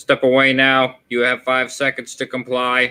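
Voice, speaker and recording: A man does a put-on, robotic character voice at a medium pitch. His intonation is monotone and flat, at a moderate pace. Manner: flat, commanding.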